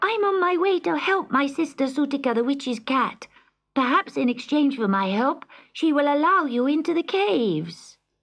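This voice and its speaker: Pitched high, a woman's put-on character voice comes through. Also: moderate pace. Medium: read story. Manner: earnest, gentle.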